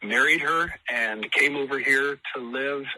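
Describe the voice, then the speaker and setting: The voice is a man's. Behind him, noticeable background noise can be heard. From US (Idaho). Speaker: musician, tribute act singer. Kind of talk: radio interview. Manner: halting, many fillers.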